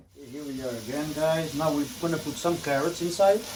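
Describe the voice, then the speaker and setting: Fairly quick male speech amid noticeable background noise. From Portugal. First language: Portuguese. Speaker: cooking vlogger. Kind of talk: cooking tutorial. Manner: casual.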